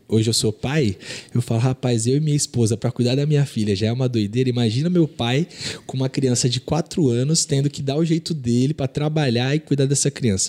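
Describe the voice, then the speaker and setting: A man's medium-pitched voice, dark and mellow in tone, with ordinary pitch variation at a moderate pace, dry and close with no echo, on a very clean recording with a silent background. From Rio de Janeiro state, Brazil (Nova Iguaçu). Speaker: digital marketing agency owner. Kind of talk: casual interview.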